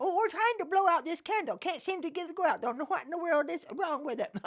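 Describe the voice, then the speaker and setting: A put-on character voice races along at a very fast pace and an extremely high pitch. Light background noise sits behind it. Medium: read story. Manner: fussy, flustered.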